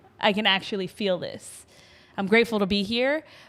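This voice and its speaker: A woman speaks at a moderate pace in an animated tone with a fairly high pitch. The recording is very clean, with a silent background. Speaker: podcast co-host. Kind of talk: casual chat. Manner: loud.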